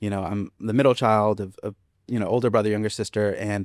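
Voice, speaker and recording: A man of medium pitch speaks very fast with a Spanish accent, in a dry, close sound with no echo and a very clean recording with a silent background. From US, Boston and Florida. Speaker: school administrator. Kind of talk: interview conversation. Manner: casual, many fillers and repetitions.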